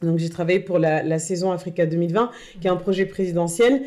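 A woman speaks at a moderate pace with fairly even intonation. Her fairly low-pitched voice has a dark, mellow tone. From northern France, Tourcoing. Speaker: association co-founder. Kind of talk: casual chat.

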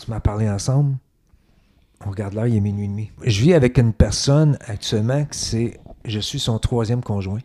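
With a Quebec accent, a man at medium pitch talks at a fairly quick pace with long, frequent pauses, ordinary pitch variation, and a dark, mellow tone. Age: 60s. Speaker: podcast guest. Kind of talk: casual interview chat.

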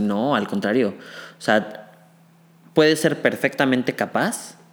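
Fairly slow pacing in a plain, everyday voice, its pitch varying in ordinary fashion. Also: man. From Mexico City. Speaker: medical student. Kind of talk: casual chat.

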